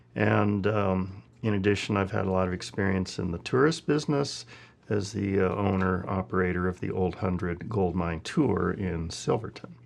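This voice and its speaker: With an American accent, a man speaks at a moderate pace in a very deep, low pitch with vocal fry. His pitch variation is ordinary. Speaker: assayer. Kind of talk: oral history interview answer.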